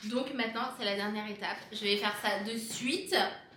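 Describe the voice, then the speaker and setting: A woman with a fairly high pitch speaks at a moderate pace in an animated tone, with audible room echo and noticeable background noise. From France. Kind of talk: casual vlog.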